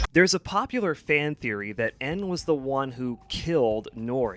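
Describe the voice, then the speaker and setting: Very wide pitch swings over music in the background, with a dry, close sound and no echo. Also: man. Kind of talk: video essay narration. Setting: home recording, some parts on lesser mic. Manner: casual, opinionated.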